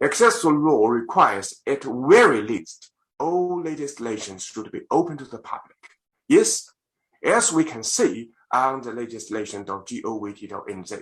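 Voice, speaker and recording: Delivered at a moderate pace with a Chinese accent, the voice swings very widely in pitch and makes big jumps in loudness. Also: man, fairly high pitch for a man. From China. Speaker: lawyer. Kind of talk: parliamentary submission speech. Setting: video call. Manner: formal.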